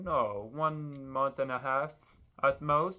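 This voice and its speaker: A man with a French accent speaks in a fairly high, bright, sharp voice with ordinary pitch variation against a quiet background. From France. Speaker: Lego builder vlogger. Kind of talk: casual vlog while building. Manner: hesitant, many fillers.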